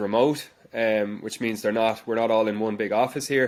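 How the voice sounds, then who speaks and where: Speaking at a fairly quick pace, a man talks with a Dublin accent. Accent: Dublin Irish. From Ireland, Dublin. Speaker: education company founder, former science teacher. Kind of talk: interview answers. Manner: hesitant with repetitions.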